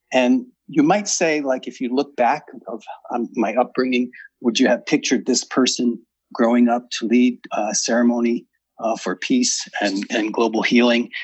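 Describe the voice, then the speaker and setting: This is a man with an American accent, speaking at a moderate pace and a medium pitch. He has a normal speaking voice with ordinary pitch variation. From US. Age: 60s. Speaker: author and ceremony leader. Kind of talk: interview.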